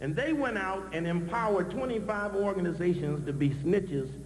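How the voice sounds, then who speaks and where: Noticeable background noise and audible room echo surround the recording. A man with a high pitch talks at a fairly quick pace with lively intonation. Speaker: activist speaker. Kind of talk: conference speech. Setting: stage with audience. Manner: fast.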